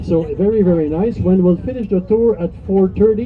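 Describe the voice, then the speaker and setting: The voice moves at a moderate pace with ordinary pitch variation, set against noticeable background noise. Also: man. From Quebec, Montreal. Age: 60s. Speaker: tour guide. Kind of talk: guided tour commentary. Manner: animated.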